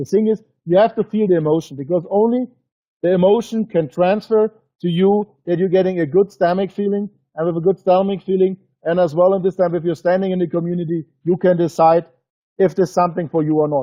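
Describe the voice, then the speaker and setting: In a German accent, a man talks fairly quickly at a high pitch with fairly even intonation. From Germany. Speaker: business presenter. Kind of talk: webinar sales presentation. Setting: webinar broadcast. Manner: halting; emotional.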